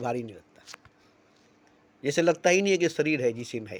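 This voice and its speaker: Here a man talks at a moderate pace, his pitch fairly high and his pitch variation ordinary. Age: 60s. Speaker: spiritual speaker. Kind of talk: spiritual monologue. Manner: repetitive.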